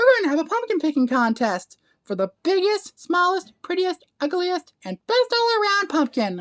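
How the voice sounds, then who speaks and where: A squeaky, put-on character voice that sounds female, extremely high in pitch, runs at a moderate pace with hardly any pauses. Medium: read story. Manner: warm, bright.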